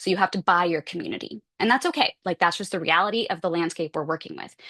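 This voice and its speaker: The speech comes at a very fast pace with ordinary pitch variation. The background is quiet, and the sound is dry and close with no echo. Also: woman, fairly low pitch for a woman. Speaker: symposium presenter. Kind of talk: conference talk. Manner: casual, animated.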